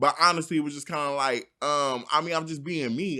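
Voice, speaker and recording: A loud man with a fairly high pitch and a bright, sharp tone, talking at a fairly quick pace on a very clean recording with a silent background. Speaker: podcast host. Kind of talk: casual chat.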